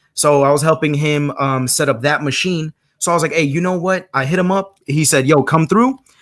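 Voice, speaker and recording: A man with a fairly high pitch talks at a fairly quick pace with ordinary pitch variation. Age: 20s. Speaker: visual artist. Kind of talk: casual chat. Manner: halting.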